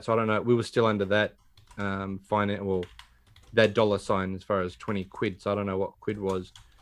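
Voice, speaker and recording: A man with an Australian accent, fairly low-pitched, flat and monotone, against a quiet background. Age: 40s. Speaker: podcast host. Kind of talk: casual chat; plot summary reading.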